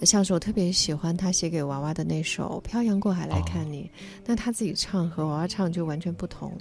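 A woman talks at a fairly quick pace and fairly low pitch, somewhat breathy, with ordinary pitch variation. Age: 40s. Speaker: writer and broadcaster. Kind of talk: casual chat.

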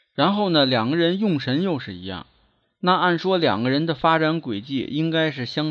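At a fairly slow pace, a man with a fairly high pitch and a slight Beijing accent talks with lively intonation. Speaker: feng shui and divination teacher. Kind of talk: solo lecture podcast. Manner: measured, filler-heavy (呢).

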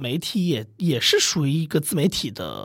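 A man's fairly high, somewhat breathy voice at a moderate pace, with lively intonation. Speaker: media professional, podcast co-founder. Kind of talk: casual chat.

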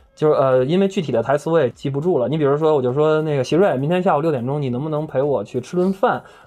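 Over music in the background, a man with a fairly high pitch talks very fast with hardly any pauses. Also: ordinary pitch variation. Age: 30s. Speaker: actor and host. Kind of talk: casual chat. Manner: animated.

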